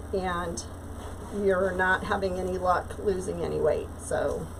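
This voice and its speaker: Noticeable background noise and audible room echo fill this recording. A woman speaks at a fairly slow pace. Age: 60s. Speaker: craft livestreamer. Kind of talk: casual chat. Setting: live stream. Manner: chatty, hesitant with fillers.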